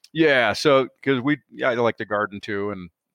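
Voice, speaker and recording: A man with a Midwestern US accent at a moderate pace, medium pitch and ordinary pitch variation, in a dry, close sound with no echo and a quiet background. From northern Illinois. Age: 50s. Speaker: kennel company owner. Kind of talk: interview. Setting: remote call over satellite internet.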